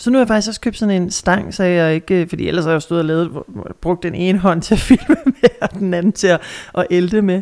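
A woman talks at a fairly quick pace with a medium pitch and ordinary pitch variation. The sound is dry and close, with no echo. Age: 30s. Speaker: radio host and podcast co-host. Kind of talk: casual chat. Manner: halting, many fillers.

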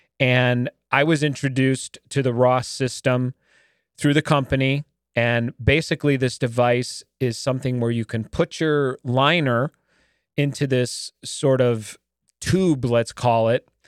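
An ordinary speaking voice: a man at a medium pitch and a fairly slow pace, on a very clean recording with a silent background and a dry, close sound with no echo. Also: fairly even intonation. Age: 50s. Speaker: podcast host. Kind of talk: casual interview.

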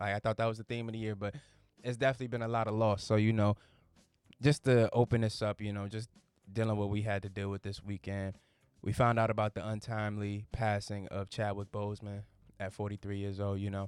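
A voice with an American accent rushes along at a very fast pace in a flat monotone. The recording is very clean, with a silent background. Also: man. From Virginia. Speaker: podcast host. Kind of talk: casual monologue.

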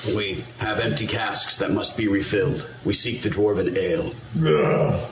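Noticeable background noise behind a man talking at a fairly slow tempo. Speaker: tabletop game player. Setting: live recorded game session.

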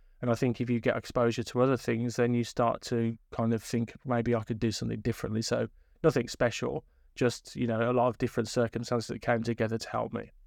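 In a very clean recording with a silent background, a man with a Birmingham accent speaks very fast in a monotone, flat intonation. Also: medium pitch for a man. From inner city Birmingham, England. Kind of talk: interview. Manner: hesitant, many fillers.

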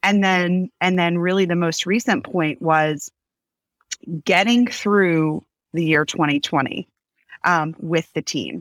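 Very slowly, a woman speaks at a fairly low pitch with ordinary variation, in a dry, close sound with no echo. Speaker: business owner. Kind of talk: casual interview. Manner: loud, extroverted talker.

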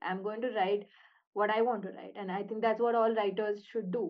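The speaker is a woman with a plain, everyday voice. Her intonation is fairly even. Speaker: podcast host. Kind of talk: interview conversation; scripted introduction.

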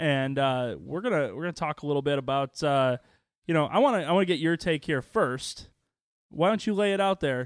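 Here is a man with an American accent and an ordinary speaking voice, fairly high in pitch. He talks at a fairly quick pace with lively intonation, on a very clean recording with a silent background. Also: dry, close sound with no echo. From northern Illinois, Chicago area (Waukegan). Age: 20s. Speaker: podcast co-host. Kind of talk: casual chat. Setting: studio.

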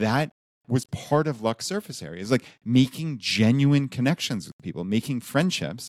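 A man's medium-pitched voice at a moderate pace with ordinary pitch variation, dry and close with no echo, in a very clean recording with a silent background. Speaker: personal finance blogger. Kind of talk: casual chat.

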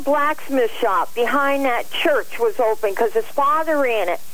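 A woman speaks with a high pitch. Noticeable background noise sits behind her. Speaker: caller.

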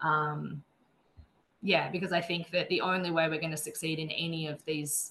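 A woman with an Australian accent, very deep and low in pitch, at a fairly slow pace. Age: 30s. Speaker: wildlife vet nurse and conservationist. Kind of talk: interview.

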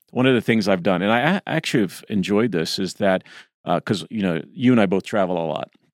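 A man with a plain, everyday voice talks at a fairly quick pace, his pitch fairly low, in a dry, close recording with no echo. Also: very clean recording, silent background. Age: 60s. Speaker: podcast co-host. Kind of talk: casual chat.

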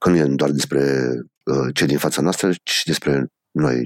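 A man's very deep, low voice at a moderate pace, in a dry, close sound with no echo. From Romania, Bacău and Cluj-Napoca. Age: 40s. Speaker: rock band singer. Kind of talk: casual interview.

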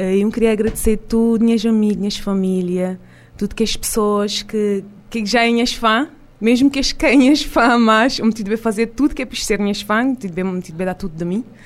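At a fairly quick pace, a woman talks in an ordinary speaking voice, fairly high in pitch with ordinary pitch variation. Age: young. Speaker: singer. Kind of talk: radio interview. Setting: studio.

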